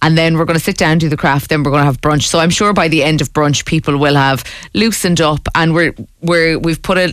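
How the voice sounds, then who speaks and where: A woman's very deep, low pitch in an Irish accent, at a very fast pace with ordinary pitch variation. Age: 20s. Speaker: founder of a social craft club. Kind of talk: radio interview. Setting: studio.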